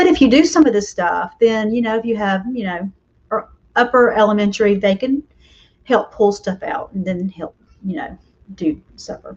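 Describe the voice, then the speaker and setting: A woman's voice comes through somewhat breathy. Her intonation is lively. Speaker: homeschool mom and online host. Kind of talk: casual live stream talk. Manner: chatty with fillers; fast.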